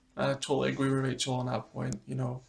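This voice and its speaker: A man speaks with a Scottish accent. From Scotland. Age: 30s. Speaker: pet YouTuber. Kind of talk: casual chat.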